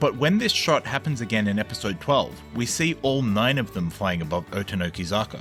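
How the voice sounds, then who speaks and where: Music in the background behind a man at a moderate pace with very wide pitch swings. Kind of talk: video essay narration.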